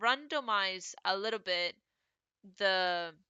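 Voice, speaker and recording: Her pitch sits at medium for a woman. She speaks at a very slow pace. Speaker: digital art tutorial creator. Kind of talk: tutorial. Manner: casual, hesitant with fillers.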